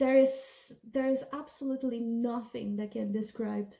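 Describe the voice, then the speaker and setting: With a non-native accent, a woman speaks at a moderate pace, her pitch fairly high and its variation ordinary. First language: not English. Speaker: beauty and storytime vlogger. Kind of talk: casual storytime monologue. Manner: animated, repetitive.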